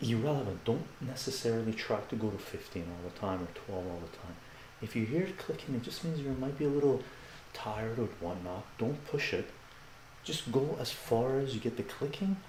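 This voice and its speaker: Against noticeable background noise, a soft-spoken man with a calm tone talks at a fairly quick pace in a medium-pitched voice. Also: lively intonation. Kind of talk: live fitness demonstration to camera. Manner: soft-spoken, calm, instructional.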